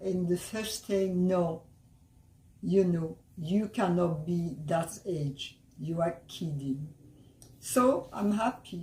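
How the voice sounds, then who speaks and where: A woman's somewhat breathy, dark and mellow voice, fairly low in pitch with ordinary pitch variation, at a very slow pace broken by long, frequent pauses. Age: 80s+. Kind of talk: interview answer.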